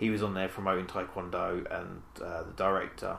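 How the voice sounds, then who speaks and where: A man speaks with a British accent. His tone is animated. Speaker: podcast co-host. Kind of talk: casual banter about movies. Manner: joking, animated.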